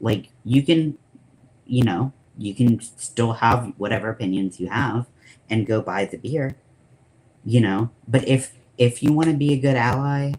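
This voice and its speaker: A man with an American accent speaks at a medium pitch, somewhat breathy. His pace is fairly slow, broken by long, frequent pauses. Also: ordinary pitch variation. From US Midwest, northern Illinois. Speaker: streamer. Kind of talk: casual chat. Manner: animated.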